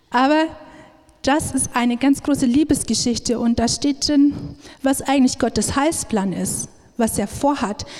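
A woman speaks at a fairly slow pace in a high voice, with ordinary rise and fall in her pitch. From Upper Palatinate, Bavaria. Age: 30s. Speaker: missionary speaker. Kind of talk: sermon-style talk. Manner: many filler sounds (ähm).

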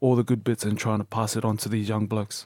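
Monotone, flat delivery in an Australian accent. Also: man. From Brisbane, Australia (born New Zealand). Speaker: professional rugby player. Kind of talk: interview. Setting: studio.

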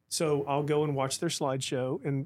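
A man with a fairly high pitch speaks in a monotone, flat intonation on a very clean recording with a silent background. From Oklahoma, Tulsa area. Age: 50s. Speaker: former mayor and pastor. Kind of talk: casual interview. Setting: studio.

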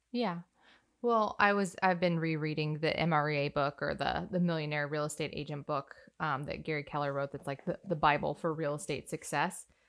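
In a very clean recording with a silent background, a woman talks at a fairly quick pace with a very deep, low pitch and ordinary pitch variation. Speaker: podcast co-host. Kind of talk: casual chat.

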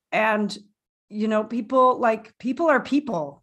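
A woman speaks with a Canadian accent. Music plays in the background. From Canada. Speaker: podcast co-host. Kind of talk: casual chat, recap discussion. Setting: home recording, remote.

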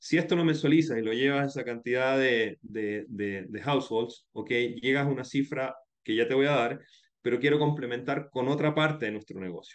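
This man talks at a fairly quick pace and medium pitch with ordinary pitch variation. He has a plain, everyday voice. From Chile. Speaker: startup founder and CEO. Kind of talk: interview.

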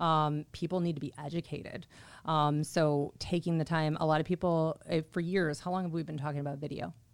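A woman with an American accent speaks at a very deep, low pitch. Her intonation is monotone and flat, in a very clean recording with a silent background. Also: fairly quick pace. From Chicago area, Illinois. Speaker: title business development manager. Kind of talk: interview. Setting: studio.

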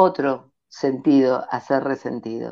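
A woman speaks at a very slow pace. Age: 50s. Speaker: ontological coach. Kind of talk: interview.

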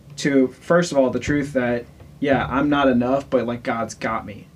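Noticeable background noise surrounds a man speaking. His pitch is fairly high and his pace fairly slow. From Louisiana. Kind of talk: casual chat.

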